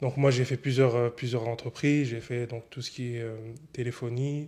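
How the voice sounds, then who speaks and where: Speaking at a moderate pace, a man with a medium pitch and a dark, mellow tone keeps a monotone, flat intonation on a very clean recording with a silent background. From France, Annemasse area (Haute-Savoie). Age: 20s. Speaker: entrepreneur, concierge business owner. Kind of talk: interview. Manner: hesitant, many fillers.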